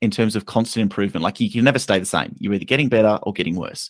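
A man's very fast speech at a medium pitch, in an Australian accent. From Western Australia. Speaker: investment content creator. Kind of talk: casual chat.

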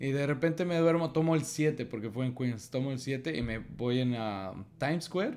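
Using an ordinary speaking voice, a man at medium pitch talks at a fairly slow pace with lively intonation. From Mexico. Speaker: podcast co-host. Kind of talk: casual chat.

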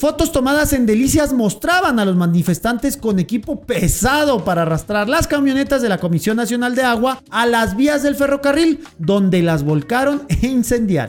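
With a northern Mexican accent, a man talks at a moderate pace with hardly any pauses, his pitch extremely high and swinging very widely while his loudness stays very even, over noticeable background noise. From Chihuahua, northern Mexico. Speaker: podcast co-host. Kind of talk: comedic news commentary.

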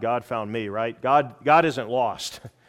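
A man's normal speaking voice with an American accent, fairly slow, with fairly even intonation. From United States. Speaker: pastor, former Secret Service agent. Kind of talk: sermon. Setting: school chapel with student audience.

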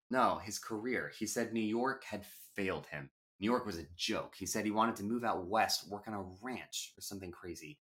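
An unforced reading voice comes through against a quiet background.

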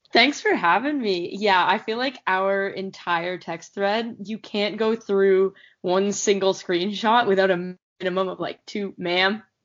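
A woman with a normal speaking voice, medium pitch and fairly even intonation, at a fairly slow pace. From Canada. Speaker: podcast guest. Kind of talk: casual chat.

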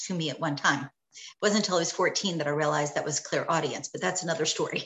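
This woman has an unremarkable speaking voice with an American accent. Her pitch varies in an ordinary way. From New York. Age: 50s. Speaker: psychic and meditation teacher. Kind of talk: casual interview.

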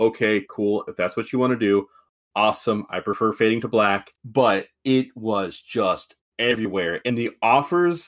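A man's plain, everyday voice, medium in pitch with ordinary variation, at a fairly slow pace in a very clean recording with a silent background. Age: 30s. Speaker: podcast host. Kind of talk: casual chat.

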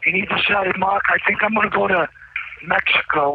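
Noticeable background noise runs through the clip. The male speaker keeps a moderate pace. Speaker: imprisoned guest on call-in show. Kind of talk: phone interview. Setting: phone call from prison cell.

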